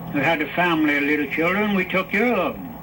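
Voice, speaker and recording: Projecting his raised voice over noticeable background noise, a man with a Southern Appalachian accent speaks with ordinary pitch variation. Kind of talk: interview answer. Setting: old archival recording.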